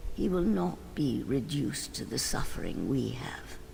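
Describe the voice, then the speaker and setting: A man whispers in a put-on character voice at a moderate pace. Clear background noise is present. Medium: video game. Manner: weary, melancholy.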